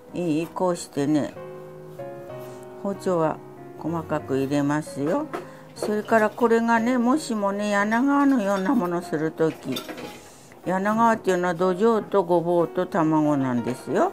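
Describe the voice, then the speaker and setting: A woman speaks at a fairly slow pace with long, frequent pauses and very wide pitch swings. Clear music plays in the background. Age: 80s+. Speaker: cooking instructor. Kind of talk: cooking class demonstration. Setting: home kitchen. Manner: light, witty. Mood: light, chatty instruction. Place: kitchen. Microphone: lapel.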